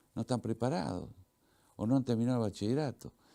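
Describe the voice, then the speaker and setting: The voice has a dark, mellow tone. It carries an Argentine accent. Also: man. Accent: Argentine Spanish (Rioplatense). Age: 70s. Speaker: veteran journalist and author. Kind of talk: interview. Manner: halting, repetitive.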